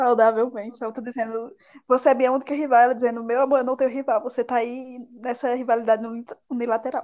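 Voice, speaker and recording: Monotone, flat intonation at a fairly quick pace. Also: woman, high pitch for a woman. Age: 20s. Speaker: podcast co-host. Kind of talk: casual chat.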